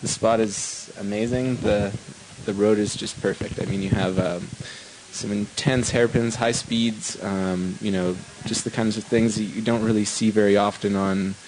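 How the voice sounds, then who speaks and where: A man speaks in a fairly low voice at a moderate pace with monotone, flat intonation. Noticeable background noise sits behind him. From western Canada (Vancouver, British Columbia). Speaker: downhill skateboard racer. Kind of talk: post-race interview.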